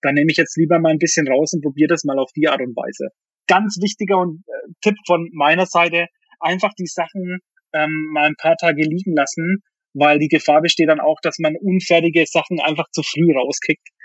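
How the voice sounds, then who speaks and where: A man's voice sits high in pitch, keeping fairly even intonation as he moves along at a moderate pace. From Bavaria, Germany. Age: 30s. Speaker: music producer and DJ. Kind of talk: interview.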